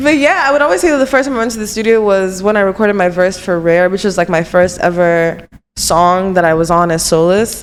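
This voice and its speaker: With an American accent, a woman speaks at a fairly quick pace and medium pitch. Her intonation is lively, and she hardly pauses. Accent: American-sounding with Nigerian undertone. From Nigeria, Lagos. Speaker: singer. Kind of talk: casual chat.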